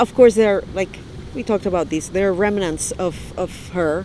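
Lively intonation marks a woman's speech with a non-native accent. Noticeable background noise runs underneath. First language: not English. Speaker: author. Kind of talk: casual chat. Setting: outdoors on a park bench.

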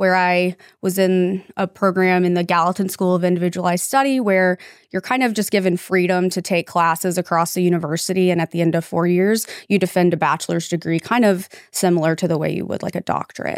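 A woman speaks in a normal speaking voice at a medium pitch, with fairly even intonation and a fairly quick pace. The recording is very clean, with a silent background. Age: 30s. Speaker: police officer and former lawyer. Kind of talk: casual interview chat.

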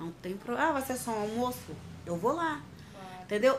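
A woman at a fairly quick pace against noticeable background noise. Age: 30s. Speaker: domestic violence survivor. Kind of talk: testimony. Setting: at her home. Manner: casual, conversational.

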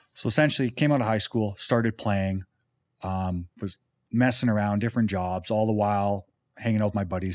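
A man with a very deep, low pitch and a western Canadian accent, speaking at a fairly quick pace with ordinary pitch variation, in a very clean recording with a silent background and a dry, close sound with no echo. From Calgary, Alberta, Canada. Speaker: painting business owner and musician. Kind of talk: casual chat. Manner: casual.

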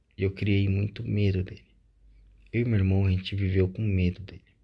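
The background is quiet as a man speaks. His voice is fairly low and somewhat breathy. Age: 20s. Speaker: podcaster. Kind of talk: personal monologue.

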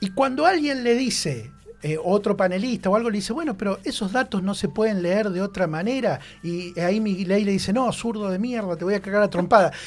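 Music plays in the background as a man talks at a fairly quick pace in a high voice with ordinary pitch variation. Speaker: radio columnist. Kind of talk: radio column discussion.

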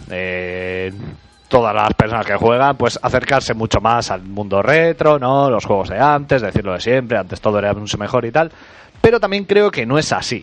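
With noticeable background noise behind him, a man with a Spanish accent speaks at medium pitch and moderate pace with lively intonation. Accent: Spanish (Spain). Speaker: podcast host. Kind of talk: casual chat.

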